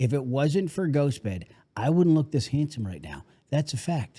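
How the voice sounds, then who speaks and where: Somewhat breathy, a man speaks at a fairly high pitch. He keeps a moderate pace with lively intonation. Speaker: podcast host. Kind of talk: sponsor ad read.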